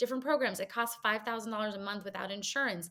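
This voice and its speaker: Using a normal speaking voice, a woman's pitch sits fairly high and varies in an ordinary way. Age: 40s. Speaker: chronic illness advocate, founder. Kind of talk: podcast interview.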